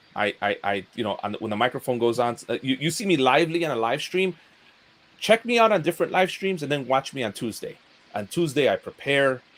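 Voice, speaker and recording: Speaking at a fairly quick pace, a man with a fairly high voice makes very wide pitch swings. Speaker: YouTuber. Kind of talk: casual chat. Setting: live stream. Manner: halting.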